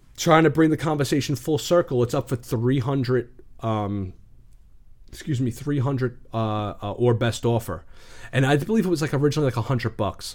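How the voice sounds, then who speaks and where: A man with a New York accent talks at a fairly quick pace, his pitch medium with ordinary variation. The recording is very clean, the background silent. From New York, the Bronx. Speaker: YouTuber and action figure collector. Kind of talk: casual interview chat.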